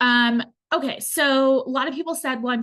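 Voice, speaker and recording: The voice belongs to a woman. Its rise and fall in pitch is ordinary. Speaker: student debt specialist. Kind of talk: webinar Q&A. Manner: fast.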